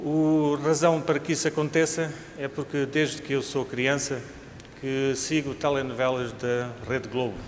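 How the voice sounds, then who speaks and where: A man with a European Portuguese accent speaks fairly slowly in a fairly high, monotone, flat voice, with audible room echo. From Portugal. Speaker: cardiologist, invited speaker. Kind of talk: lecture. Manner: formal.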